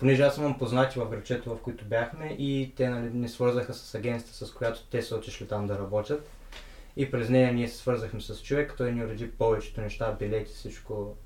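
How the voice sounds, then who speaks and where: Somewhat breathy, a man speaks at a fairly quick pace with a medium pitch and fairly even intonation. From Bulgaria. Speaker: guest who worked abroad. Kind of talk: casual interview chat.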